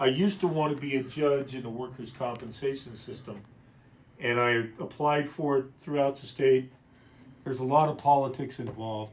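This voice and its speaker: A man has an unremarkable speaking voice at medium pitch with fairly even intonation. He keeps a moderate pace while his loudness swings a lot. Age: 60s. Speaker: attorney. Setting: livestream from a law office.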